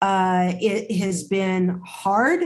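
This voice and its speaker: A woman's somewhat breathy voice carries an American accent. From California Central Valley. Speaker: nonprofit health organization CEO. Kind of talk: interview.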